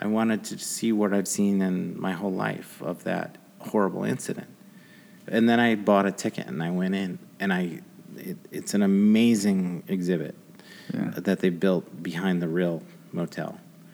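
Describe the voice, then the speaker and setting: A man speaks at a moderate pace in an ordinary speaking voice, his pitch fairly low and its variation ordinary. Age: 50s. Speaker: podcast host. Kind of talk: interview. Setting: studio.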